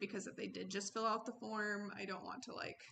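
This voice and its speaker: Her medium-pitched voice has a bright, sharp tone and vocal fry, and the woman talks fairly quickly with fairly even intonation. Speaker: social work student. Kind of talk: self-reflective critique. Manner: fast; stumbling over words.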